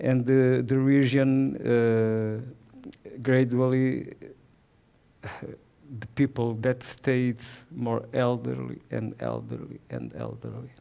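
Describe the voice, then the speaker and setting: A man with a Portuguese accent speaks at a very slow pace, with long, frequent pauses. His loudness swings a lot. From southern Portugal. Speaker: watercolor painter. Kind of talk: presentation. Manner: halting.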